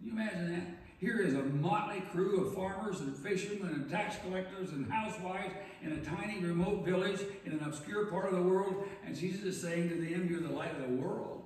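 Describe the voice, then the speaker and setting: Strong room echo surrounds a man with a high pitch who talks at a fairly quick pace with fairly even intonation. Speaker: pastor. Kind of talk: sermon. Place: church.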